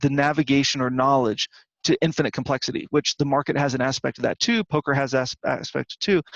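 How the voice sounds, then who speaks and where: This man talks at a fairly quick pace, and the sound is dry and close with no echo. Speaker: trading and poker coach. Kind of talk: screen-share trading review. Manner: fast; halting, many repetitions.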